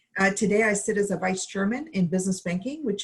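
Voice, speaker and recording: A somewhat breathy woman's voice at a medium pitch. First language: not English. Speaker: bank executive. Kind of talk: panel discussion.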